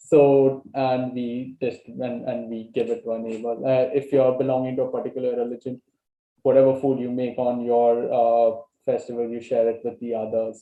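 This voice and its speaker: Speaking with a Goan accent, a man uses a medium pitch and monotone, flat intonation at a moderate pace. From Goa, India. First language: Konkani. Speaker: language exchange participant. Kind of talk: casual conversation. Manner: halting, many fillers.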